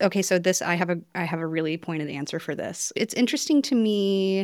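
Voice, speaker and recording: In a very clean recording with a silent background, a woman with a normal speaking voice talks at a moderate pace with ordinary pitch variation. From North Carolina. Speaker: potter and textile mentee. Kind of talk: group conversation. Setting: quilting studio.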